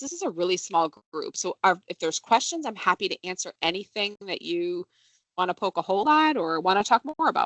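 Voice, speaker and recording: A woman talks fairly quickly at a medium pitch. Her pitch swings very widely. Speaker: benefits presenter. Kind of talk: workplace presentation. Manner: casual with many fillers.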